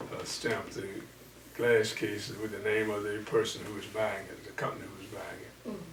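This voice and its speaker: With a Southern US accent, a man speaks at a fairly low pitch in a monotone, flat delivery over noticeable background noise. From Louisiana, US. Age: 80s+. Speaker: pastor. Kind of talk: interview answer.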